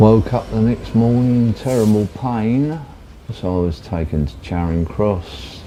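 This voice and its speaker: Over noticeable background noise, the speaker goes at a fairly slow pace with lively intonation. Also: man. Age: 70s. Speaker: blind man telling his story. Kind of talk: personal testimony.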